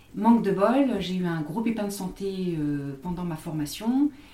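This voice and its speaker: A woman speaks in a dark, mellow tone that is somewhat breathy. Her pitch variation is ordinary. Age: 50s. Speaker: graphologist. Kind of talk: interview. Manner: halting, many repetitions.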